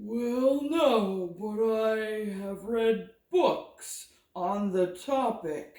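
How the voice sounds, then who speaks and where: A put-on character voice with a fairly high pitch talks at a very slow pace. There is a slight echo. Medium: read story. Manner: polite, formal.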